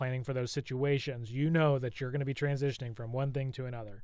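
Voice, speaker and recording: Here a man speaks at a medium pitch. His intonation stays fairly even. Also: very clean recording, silent background. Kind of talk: casual chat. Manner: fast.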